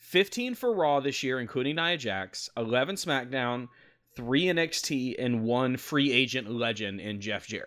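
A man with a normal speaking voice, medium pitch, lively intonation and a moderate pace, on a very clean recording with a silent background. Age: 30s. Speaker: wrestling podcast host. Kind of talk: casual chat. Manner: play-by-play recap of matches.

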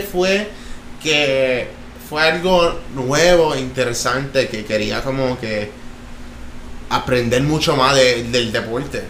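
A man talks at a very slow pace, his pitch swinging very widely. Audible room echo and noticeable background noise fill the recording. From Florida, US (Jacksonville and Orlando), Puerto Rican family. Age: 20s. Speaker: professional skateboarder, Olympian. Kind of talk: casual interview. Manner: halting, many fillers.

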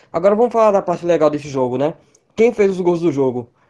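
Very fast speech plays against a quiet background. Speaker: football podcast co-host. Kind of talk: casual chat.

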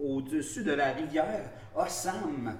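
Noticeable background noise and audible room echo surround a man's voice. He speaks at a fairly high pitch and a fairly slow pace, with lively intonation. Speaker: podcast co-host. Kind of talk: casual chat. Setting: office of a host's employer. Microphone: echo in the room.

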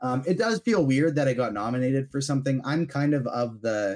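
An enthusiastic tone at a fairly quick pace. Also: man. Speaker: podcast guest, fandom media host. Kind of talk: casual chat.

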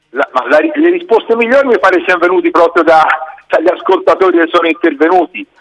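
A man is speaking. His pace is moderate. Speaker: union pensioners' secretary. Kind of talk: interview. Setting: phone call.

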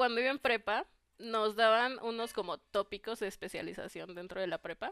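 A woman with a Mexican accent and a fairly high pitch speaks at a moderate pace in a very clean recording with a silent background. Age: 20s. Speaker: computer engineering student. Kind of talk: interview.

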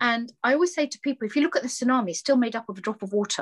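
A woman talks at a very fast pace with a British accent, her high voice full of lively intonation. The sound is dry and close, with no echo. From England, British Bangladeshi family. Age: 50s. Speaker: social enterprise founder. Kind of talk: interview.

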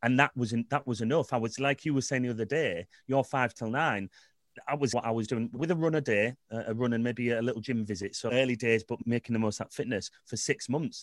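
At a medium pitch and fairly quick pace, a man talks in an ordinary speaking voice, recorded very cleanly against a silent background with a dry, close sound and no echo. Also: ordinary pitch variation. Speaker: businessman. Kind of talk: casual chat.

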